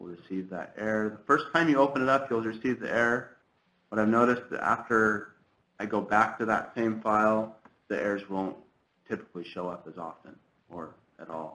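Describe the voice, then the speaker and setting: At a fairly quick pace, a man with a fairly low, bright and sharp voice speaks with ordinary pitch variation and big swings in loudness. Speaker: government trainer. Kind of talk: software tutorial.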